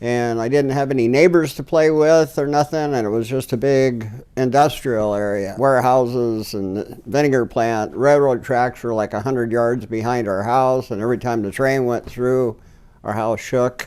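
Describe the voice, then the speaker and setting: Speaking at an even, middling speed, the man uses a mid-range pitch. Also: fairly even intonation. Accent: Pacific Northwest. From Washington state, US. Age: 70s. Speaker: filmmaker's grandfather. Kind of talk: interview storytelling.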